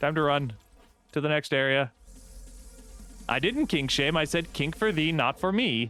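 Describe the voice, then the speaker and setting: A man with an American accent and fairly high pitch, lively intonation, a fairly slow pace with long, frequent pauses, very even loudness, and music in the background. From US South. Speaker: VTuber streamer. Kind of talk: live gameplay stream chat. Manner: animated.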